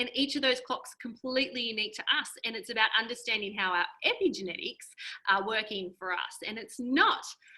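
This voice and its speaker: Bright and sharp, a woman's fairly high voice with an Australian accent moves at a fairly quick pace, animated in tone with ordinary pitch variation. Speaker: health coach. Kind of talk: webinar presentation. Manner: fast.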